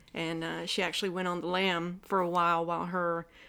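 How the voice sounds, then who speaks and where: In a very clean recording with a silent background, a woman talks at a fairly quick pace with a Southern US accent. Her voice is fairly low in pitch, with a bright, sharp tone. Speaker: acupuncturist. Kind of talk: casual interview chat.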